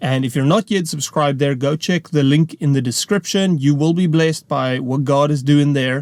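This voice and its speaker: Speaking with a South African accent, a man with a fairly high pitch and ordinary pitch variation keeps a moderate pace with hardly any pauses, in a dry, close sound with no echo. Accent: Afrikaans South African English. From South Africa, rural farm. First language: Afrikaans. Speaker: preacher. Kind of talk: testimony. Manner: casual, conversational.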